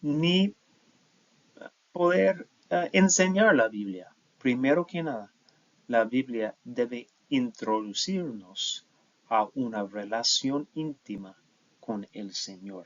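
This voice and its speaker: A man with an English accent, very slow, with long, frequent pauses and very wide pitch swings. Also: medium pitch for a man. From United States. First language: English (speaking Spanish). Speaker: professor. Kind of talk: lecture. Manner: halting, with fillers and self-corrections.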